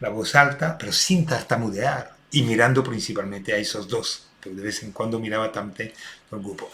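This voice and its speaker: His pitch varies in an ordinary way. The speaker is a man. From Belgium. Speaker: restorative justice consultant. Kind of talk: recorded talk for online seminar. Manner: hesitant with many fillers.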